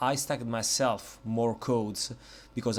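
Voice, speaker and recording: A man with an Italian accent speaks at a medium pitch, recorded very cleanly against a silent background. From Italy. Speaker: software reviewer. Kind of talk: product review tutorial. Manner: hesitant, many fillers.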